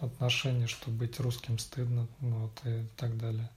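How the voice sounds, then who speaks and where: Somewhat breathy, a man talks. His pace is fairly slow. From Russia, Vladimir and Moscow. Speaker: IT specialist. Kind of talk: casual interview conversation. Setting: late evening, Monday. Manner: hesitant, many fillers.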